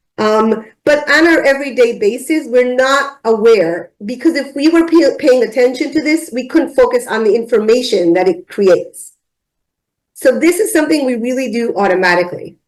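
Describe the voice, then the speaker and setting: A woman speaks high in her range with lively intonation. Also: moderate pace. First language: not English. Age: adult, driving many years. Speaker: ADHD memory speaker. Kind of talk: lecture.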